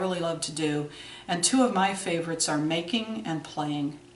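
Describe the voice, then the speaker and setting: A woman talks with ordinary pitch variation. Noticeable background noise and audible room echo surround her voice. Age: 60s. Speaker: video blogger. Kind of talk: scripted video blog. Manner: formal.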